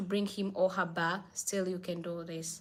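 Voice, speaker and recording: On a very clean recording with a silent background, a woman with a non-native accent speaks at medium pitch with fairly even intonation. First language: not English. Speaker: livestream host, spiritual advice. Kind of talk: live stream Q&A. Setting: live stream.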